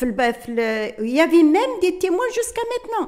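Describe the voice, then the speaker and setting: A woman speaks with very wide pitch swings. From Algeria, Kabylie. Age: 70s. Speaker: independence war witness. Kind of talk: testimony. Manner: code-switching Arabic and French, halting.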